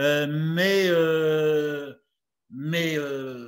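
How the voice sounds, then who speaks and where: The man's voice is fairly high in pitch. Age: 70s. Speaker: retired farmer and speaker. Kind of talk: talk and Q&A. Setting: video call. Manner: halting, many fillers.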